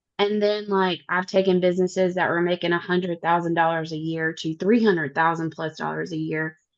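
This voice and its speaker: A woman speaks fairly quickly in a fairly low pitch, with monotone, flat intonation and hardly any pauses. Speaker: entrepreneur in coaching program. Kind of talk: Q&A question in webinar.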